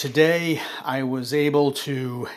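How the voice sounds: A man talks at medium pitch with a raspy voice. His tone is fairly bright.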